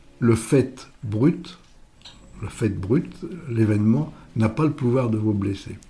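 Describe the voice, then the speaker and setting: A man's somewhat breathy, dark, mellow voice at a medium pitch and a very slow pace. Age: 80s+. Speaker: public speaking coach. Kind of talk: casual interview. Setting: office. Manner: halting, many repetitions and fillers.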